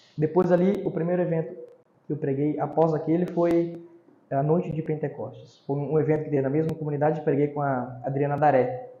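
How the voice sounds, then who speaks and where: A plain, everyday voice with fairly even intonation, moving at a fairly quick pace. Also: man, fairly high pitch for a man. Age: 20s. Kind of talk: casual interview.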